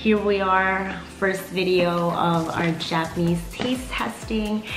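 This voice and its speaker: The speaker is a woman. Behind her, music can be heard clearly. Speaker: food vlogger. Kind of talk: casual vlog chat. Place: home room.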